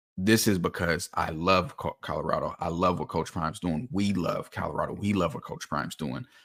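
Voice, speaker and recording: A man talks in an animated tone at a fairly quick pace with hardly any pauses. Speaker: football film analyst. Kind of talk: casual chat; film breakdown commentary.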